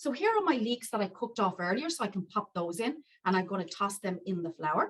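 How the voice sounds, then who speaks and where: With an Irish accent, a woman talks at a fairly quick pace in a fairly high, somewhat breathy voice with lively intonation. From County Wicklow, Ireland. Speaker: chef and cookery teacher. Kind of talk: live cooking demonstration.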